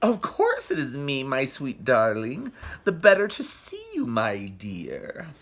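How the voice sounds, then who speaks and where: Moving fairly slowly, the put-on character voice holds a low-to-middle pitch. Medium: read story. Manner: sly, falsely sweet.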